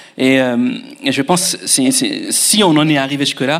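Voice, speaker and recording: This man has an ordinary speaking voice with a fairly high pitch. He speaks at a moderate pace. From Mauritius. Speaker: future pastor. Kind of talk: testimony.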